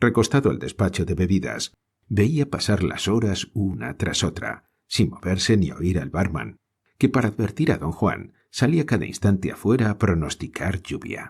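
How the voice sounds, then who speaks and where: Speaking with a Spanish accent at a fairly slow pace, a man uses a fairly low pitch with vocal fry and very wide pitch swings, in a very clean recording with a silent background. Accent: Spain Spanish. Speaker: audiobook narrator. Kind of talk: audiobook reading of a short story.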